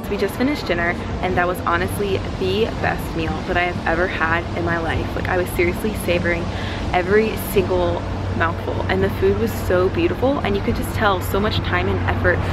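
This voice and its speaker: A woman talking at a fairly quick pace, with music in the background. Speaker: vlogger. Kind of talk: casual vlog chat. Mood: enthusiastic, grateful. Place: street. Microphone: phone near.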